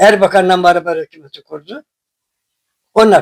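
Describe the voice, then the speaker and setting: A man's high voice at a moderate pace, dry and close with no echo. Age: 80s+. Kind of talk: interview answer.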